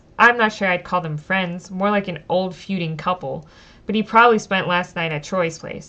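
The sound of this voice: The speaker uses an unforced reading voice. Pitch variation is ordinary.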